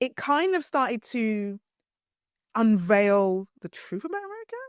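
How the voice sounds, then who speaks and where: A woman with a British accent, animated and fairly high-pitched, at a fairly slow pace with very wide pitch swings and big swings in loudness, in a dry, close sound with no echo. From East London (Hackney), England. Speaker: PR and communications strategist. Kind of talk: interview.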